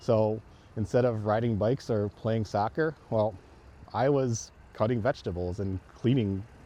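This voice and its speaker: A man with a fairly low pitch and a dark, mellow tone speaks at a moderate pace with ordinary pitch variation. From southeastern Wisconsin. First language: Chinese. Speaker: school board candidate. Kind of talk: campaign video talk. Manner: casual, hesitant with fillers.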